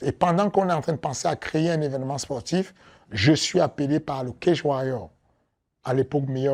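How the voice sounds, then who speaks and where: Talking at a moderate pace, a man with a fairly high pitch and a dark, mellow tone shows ordinary pitch variation. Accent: strong African. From Africa. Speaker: MMA coach and promoter. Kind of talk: interview. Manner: hesitant, repeats words.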